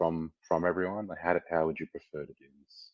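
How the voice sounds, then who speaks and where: A man with an Australian accent and a very deep, low pitch. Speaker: community manager hosting a company AMA. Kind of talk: live audio AMA on Discord stage. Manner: quieter than usual; less enthusiastic.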